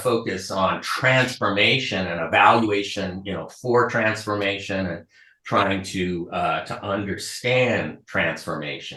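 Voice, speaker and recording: Speaking at a fairly slow pace with an American accent, a man uses ordinary pitch variation and a bright, sharp tone. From United States. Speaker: professor. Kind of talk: keynote lecture. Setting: video call to conference audience. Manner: halting with many fillers.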